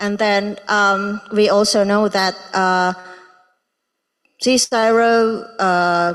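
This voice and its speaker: In an Indonesian accent, a woman speaks at a very slow pace with monotone, flat intonation and long, frequent pauses. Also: medium pitch for a woman. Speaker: research intern presenting at symposium. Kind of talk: presentation. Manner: halting, many fillers.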